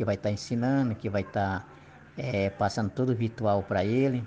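A man talks at a moderate pace, his fairly low pitch showing ordinary pitch variation. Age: 50s. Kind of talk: interview. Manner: halting.

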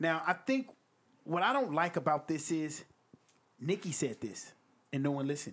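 In a very clean recording with a silent background, a man speaks in a fairly high pitch with an animated tone and very wide pitch swings. He keeps a moderate pace with long, frequent pauses. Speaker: podcast host and rapper reviewing music. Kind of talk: casual chat. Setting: studio.

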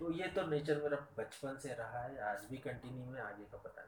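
A man's voice against noticeable background noise. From Maharashtra, India. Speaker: teacher. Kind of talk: interview.

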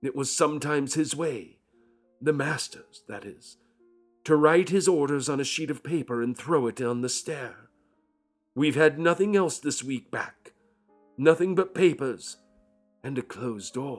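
In a put-on character voice, a man sounds hoarse and fairly high-pitched, moving at a moderate pace with long, frequent pauses. Faint music plays in the background. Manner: anxious, earnest servant speech.

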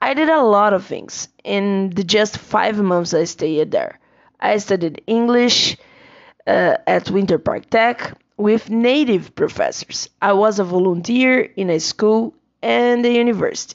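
A woman with a Portuguese accent, fairly high-pitched, at a fairly slow pace with ordinary pitch variation. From Brazil. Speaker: English teacher. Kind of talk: personal monologue.

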